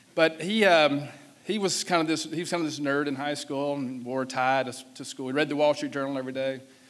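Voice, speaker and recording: Talking at a fairly quick pace with a Southern US accent, a man uses a fairly high pitch and ordinary pitch variation. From US South. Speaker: business executive. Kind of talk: keynote speech. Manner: casual, halting with fillers.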